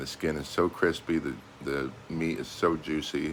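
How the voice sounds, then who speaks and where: A man talks with an American accent and vocal fry. His pace is fairly slow and his intonation monotone and flat. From United States. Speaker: expat travel vlogger. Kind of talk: casual vlog monologue. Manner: hesitant, many fillers.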